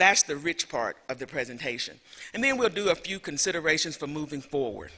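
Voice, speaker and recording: Fairly high-pitched and bright, sharp in tone, a man with a Southern US accent talks at a fairly quick pace with lively intonation. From US South, rural Alabama. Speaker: professor. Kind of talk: lecture.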